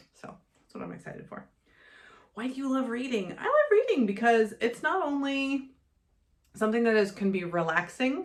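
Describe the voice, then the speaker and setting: A woman speaks with an American accent at a fairly quick pace. Her tone is animated and her intonation lively. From USA. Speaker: booktuber and bookseller. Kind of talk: casual vlog Q&A.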